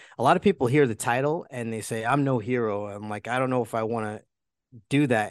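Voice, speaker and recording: Over a quiet background, a man at medium pitch talks in an unremarkable speaking voice with fairly even intonation. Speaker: retired police officer and coach. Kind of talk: interview, conversational.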